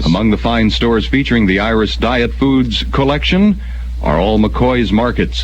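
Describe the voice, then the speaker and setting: Over noticeable background noise, a man speaks with a very deep, low pitch. His intonation is lively and his pace fairly slow. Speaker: radio morning show co-host. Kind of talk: radio DJ banter, aircheck. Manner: dry, teasing.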